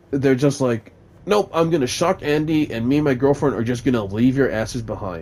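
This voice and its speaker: Mumbling at a moderate pace, a man speaks in a medium pitch with lively intonation. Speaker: gaming YouTuber reviewing a movie. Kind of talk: casual rambling movie review over gameplay. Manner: hesitant, many fillers.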